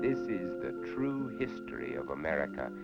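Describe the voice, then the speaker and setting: A man speaks with music in the background. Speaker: actor, TV documentary host. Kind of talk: dramatic documentary narration.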